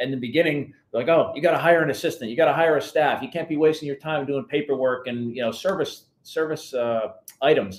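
Over audible room echo, a man with an American accent talks at a fairly quick pace, using a fairly high pitch and ordinary pitch variation. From New Jersey. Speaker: financial planner; guest. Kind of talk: interview.

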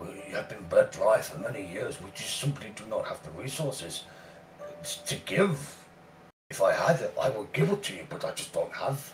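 Amid clear background noise, a man puts on a character voice at a moderate pace. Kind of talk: formal, dignified speech. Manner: apologetic, courteous, regretful.

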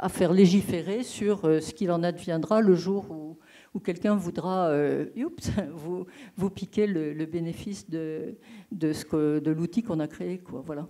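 Against a quiet background, a woman with a fairly low pitch and a dark, mellow tone speaks at a fairly slow pace with ordinary pitch variation. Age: old. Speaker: retired geographer. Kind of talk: audience question. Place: hall.

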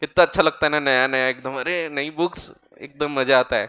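The background is quiet as a man speaks at a fairly high pitch. His intonation stays fairly even. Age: 30s. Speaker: chartered accountant and exam-prep lecturer; exam-prep lecturer. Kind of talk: lecture. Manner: casual, conversational Hinglish. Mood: relaxed, friendly, joking.

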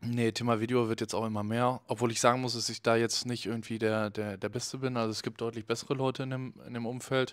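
Against a quiet background, a man rattles along at a very fast pace in a monotone, flat intonation with hardly any pauses. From Cologne, Germany. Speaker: festival photographer; podcast guest. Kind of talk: casual chat. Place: studio. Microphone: handheld.

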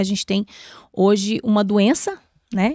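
Over a quiet background, a woman talks at a moderate pace in a dry sound with no echo. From Brazil, Minas Gerais (Belo Horizonte), moved to Brasília at 12. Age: 40s. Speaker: bariatric surgeon; guest. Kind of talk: podcast interview. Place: studio. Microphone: studio mic.

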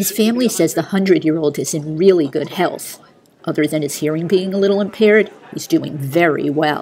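A woman's fairly low voice, fairly quick in pace with ordinary pitch variation, over noticeable background noise. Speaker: TV news reporter. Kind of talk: TV news report narration.

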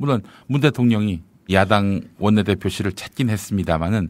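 Pitch moves with ordinary variation. The delivery is moderately paced. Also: man, very clean recording, silent background. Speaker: podcast news show host. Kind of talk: news commentary and interview. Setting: studio. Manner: formal.

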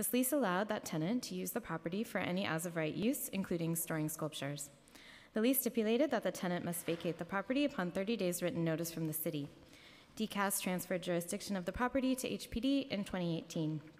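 A woman of medium pitch, very fast, with lively intonation. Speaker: city housing agency official. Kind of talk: formal testimony at public hearing. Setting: council chambers hearing room. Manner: frequent fillers, somewhat halting. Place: hall. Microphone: podium.

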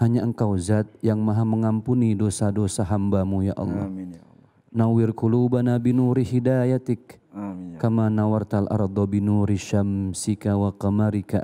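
A man with a dark, mellow tone speaks at a fairly low pitch and a moderate pace. His intonation is fairly even, with hardly any pauses. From Indonesia. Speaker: preacher. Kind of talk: prayer. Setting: studio. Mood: solemn, devout. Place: studio. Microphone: handheld.

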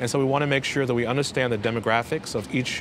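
A man in an American accent speaks at a very fast pace, with a dry sound that has no echo and noticeable background noise. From Brooklyn, New York; New York. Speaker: city parks commissioner. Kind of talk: interview. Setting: rooftop garden outdoors. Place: street. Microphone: lapel.

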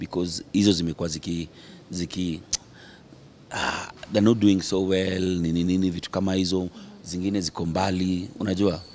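With light background noise behind him, a man speaks in a very deep, low pitch at a moderate pace with monotone, flat intonation. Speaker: interviewee. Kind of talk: interview answer. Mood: relaxed, jovial. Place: cafe. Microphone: handheld.

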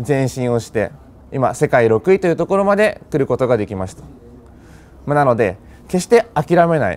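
A man at a moderate pace with long, frequent pauses, very wide pitch swings, and big swings in loudness. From Japan. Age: 20s. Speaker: customer testimonial speaker; speaker. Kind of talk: testimony. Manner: hesitant, frequent fillers. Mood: earnest, motivational. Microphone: lapel.

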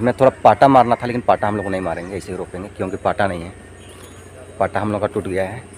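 A man with a normal speaking voice talks at a moderate pace, his pitch fairly low and his intonation fairly even. The sound is dry with no echo, and there is light background noise. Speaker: village vlogger. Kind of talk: casual vlog chat. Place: farm machine. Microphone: phone near.

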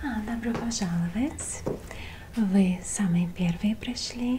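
Here a woman is soft-spoken. Light background noise can be heard. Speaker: role-play host. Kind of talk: soft-spoken role-play talk to viewer. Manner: soft, intimate ASMR speaking voice. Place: home room.

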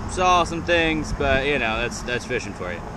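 Moderate pace in a dry sound with no echo, over noticeable background noise. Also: man. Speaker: fishing channel host. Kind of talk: casual vlog chat. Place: street. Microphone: phone near.

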